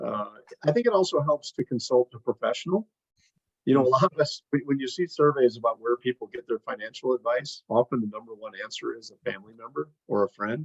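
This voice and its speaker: Talking at a very fast pace, a man shows big swings in loudness. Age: 60s. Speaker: financial planner. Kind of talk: interview. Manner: halting.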